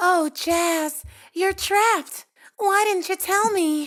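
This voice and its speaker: A put-on character voice, female-sounding and squeaky, at an extremely high pitch for a woman and a very slow pace. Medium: audio drama.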